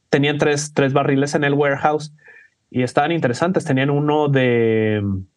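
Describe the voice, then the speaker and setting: This is a plain, everyday voice. A man speaks fairly slowly at a fairly high pitch with fairly even intonation. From Mexico. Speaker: cocktail bartender. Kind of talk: casual chat.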